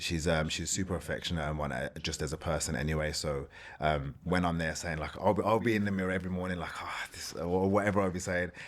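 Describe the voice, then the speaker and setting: In a Birmingham accent, a man speaks very fast with a very deep, low pitch and hardly any pauses. His intonation is fairly even, and the recording is very clean with a silent background. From England, Birmingham. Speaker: former competitive bodybuilder. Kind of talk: podcast interview.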